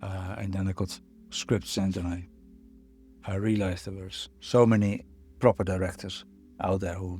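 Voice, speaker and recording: Over music in the background, a man with a Dutch accent speaks fairly quickly in a very deep, low, monotone voice. His loudness swings widely, and he takes long, frequent pauses. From Netherlands. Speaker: photographer and filmmaker. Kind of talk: interview answer. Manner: reflective, hesitant.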